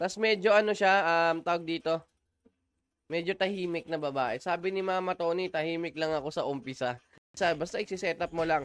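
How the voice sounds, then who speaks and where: Over music in the background, a man speaks with a high pitch. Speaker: gaming livestreamer. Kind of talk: live gameplay stream chat.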